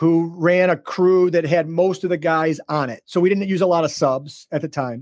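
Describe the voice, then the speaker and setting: A high-pitched man's voice in a very clean recording with a silent background. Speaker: real estate investor and agent. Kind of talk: casual interview chat. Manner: fast; animated.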